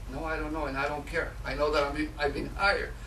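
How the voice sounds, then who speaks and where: A Mexican accent amid noticeable background noise and audible room echo. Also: man. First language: Spanish. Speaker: public speaker. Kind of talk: speech. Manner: halting, many fillers.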